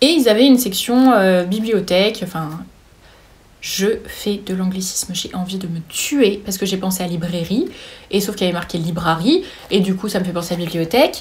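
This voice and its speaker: Somewhat breathy, a woman speaks at a moderate pace and medium pitch with ordinary pitch variation. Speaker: booktuber. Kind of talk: casual book haul talk. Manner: halting, many fillers.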